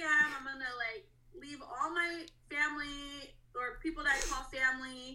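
A woman's high, raised and projected voice with an American accent, bright and sharp in tone, at a moderate pace, with ordinary pitch variation, big swings in loudness and audible room echo. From Russia, adopted to US around age 11. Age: 30s. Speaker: podcast guest sharing adoption story. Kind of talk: personal testimony.

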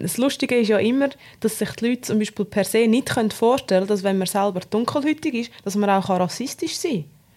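Speaking in a Swiss German accent, a woman uses a fairly high pitch. Her intonation is lively and her pace fairly quick. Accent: Swiss German dialect speaker. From Switzerland. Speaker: podcast co-host. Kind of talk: casual chat.

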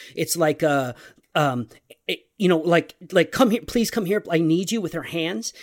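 This man has a high pitch and lively intonation, recorded with a dry, close sound and no echo. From Texas. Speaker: comic book writer. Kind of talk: casual chat. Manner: fast talker; animated, laughs often.

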